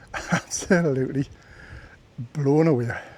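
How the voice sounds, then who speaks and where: The recording carries noticeable background noise. A man speaks in a fairly high pitch. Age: 60s. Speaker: hiking vlogger. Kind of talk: casual vlog narration. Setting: outdoors on a mountain.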